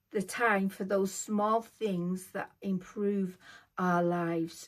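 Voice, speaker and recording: Speaking at a very slow pace, a woman with a British accent keeps her intonation fairly even. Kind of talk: scripted vlog monologue. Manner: impaired, effortful speech from neurological condition; slow, reading from script.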